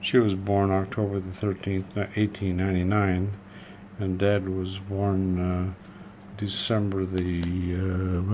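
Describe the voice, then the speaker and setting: A man talks at a fairly slow pace in a monotone with flat intonation. Noticeable background noise runs underneath. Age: 70s. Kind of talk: interview answer. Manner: casual, reminiscing.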